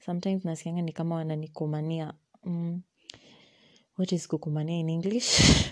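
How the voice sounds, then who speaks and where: A woman at a fairly quick pace, monotone and flat, with long, frequent pauses. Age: young (19). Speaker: podcast host, student. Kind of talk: casual monologue. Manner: rambling with code-switching.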